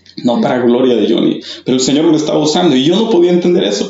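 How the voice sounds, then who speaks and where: A man with a fairly high voice and ordinary pitch movement talks above noticeable background noise. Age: 30s. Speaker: church youth mentor. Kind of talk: testimony.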